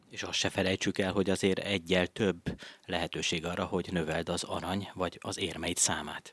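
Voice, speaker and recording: At a moderate pace, a man talks in a very deep, low pitch with a monotone, flat intonation. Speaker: radio host. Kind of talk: radio interview. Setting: studio.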